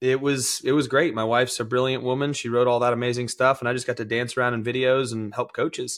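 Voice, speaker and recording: At a very fast pace with hardly any pauses, a man talks in a monotone, flat intonation. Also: medium pitch for a man. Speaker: CrossFit athlete and coach. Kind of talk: casual interview chat. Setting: video call.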